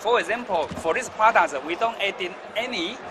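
Over noticeable background noise, a man speaks at a fairly slow pace with lively intonation. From Taiwan. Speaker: food exhibitor. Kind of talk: interview. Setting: trade show floor. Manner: halting. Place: hall. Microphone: phone near.

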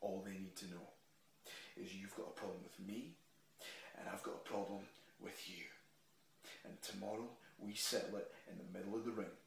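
A man with a Scottish accent speaks in an intense, menacing tone at a moderate pace, with long, frequent pauses. Audible room echo and light background noise fill the recording. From Scotland. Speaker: professional wrestler. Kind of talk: wrestling promo: taunting monologue addressed straight to his opponent. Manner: intense, building, trash-talking swagger; punchy, declarative, menacing closing lines. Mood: intense, confrontational. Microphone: phone near.

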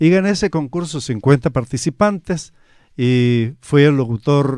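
With lively intonation and a very slow pace, a man talks in a dry sound with no echo against a quiet background. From Chile (Talcahuano, Concepción); Chile. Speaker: radio announcer. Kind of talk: radio interview. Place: studio. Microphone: studio mic.

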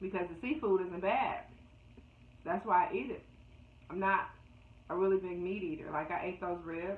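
The woman talks at a moderate pace with ordinary pitch variation. There is audible room echo. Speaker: vlogger. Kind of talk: casual vlog chat. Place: home room. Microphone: phone near.

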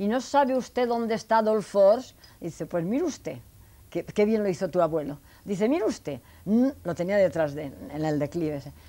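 Her tone is dark and mellow, and the woman keeps a moderate pace. Her pitch swings very widely. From Spain, Elche (Alicante); Spain. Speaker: elderly interviewee recounting life story; interviewee. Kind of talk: life story interview. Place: home room. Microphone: lapel.

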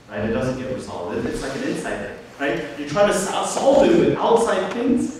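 A man speaks in a high voice with very wide pitch swings, at a moderate pace with hardly any pauses. Strong room echo and light background noise surround him. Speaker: pastor. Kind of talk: sermon. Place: church.

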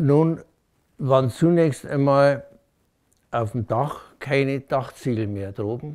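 Speaking at a very slow pace, a man leaves long, frequent pauses. His pitch is fairly high with ordinary variation, over a quiet background. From Munich, Bavaria; Bavaria. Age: 80s+. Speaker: war eyewitness; witness. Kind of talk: testimony. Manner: halting. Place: home room.

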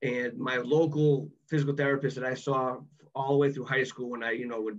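A man talks at a fairly high pitch and a fairly quick pace. His intonation stays fairly even over a quiet background. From Massachusetts. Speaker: former college athlete; podcast guest. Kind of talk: podcast interview answer. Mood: reflective, recalling frustration. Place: home room. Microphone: video call.

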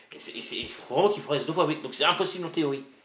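A man talks over noticeable background noise. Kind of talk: casual chat.

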